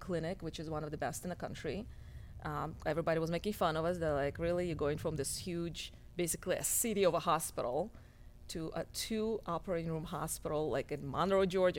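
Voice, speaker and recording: Speaking very fast with a Russian accent, a woman keeps a fairly low pitch and fairly even intonation. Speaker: cosmetic surgeon. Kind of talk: casual interview chat.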